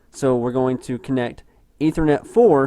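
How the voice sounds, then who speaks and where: In a quiet background with dry sound and no echo, a man speaks at a moderate pace in a dark, mellow tone. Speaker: gaming tutorial youtuber; tech tutorial maker. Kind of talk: tutorial. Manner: casual with many fillers. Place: home room.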